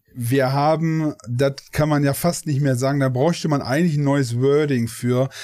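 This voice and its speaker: With hardly any pauses, a man speaks in a dark, mellow tone at a very even loudness. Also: fairly high pitch for a man, fairly even intonation, moderate pace. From Ruhr area, Germany. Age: 40s. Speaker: gaming streamer. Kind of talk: casual interview.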